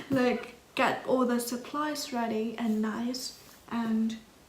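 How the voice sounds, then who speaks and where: A woman with a non-native accent speaks at a fairly high pitch in monotone, flat intonation. Audible room echo and noticeable background noise come through. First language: not English. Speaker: art student YouTuber. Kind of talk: casual vlog, supplies haul. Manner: hesitant, with fillers.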